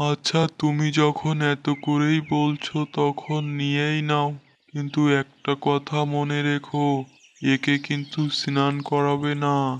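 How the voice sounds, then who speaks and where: Over a quiet background, a cartoonish character voice drawls very slowly at a low-to-middle pitch, flat and monotone throughout. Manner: sly, persuasive.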